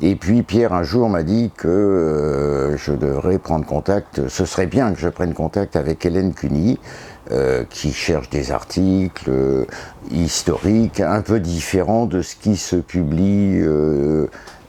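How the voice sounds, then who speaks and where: A man's very deep, low voice at a very slow pace, lively intonation, and noticeable background noise. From northern France, Pas-de-Calais. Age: 60s. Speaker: historian and author. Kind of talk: interview. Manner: hesitant, many fillers.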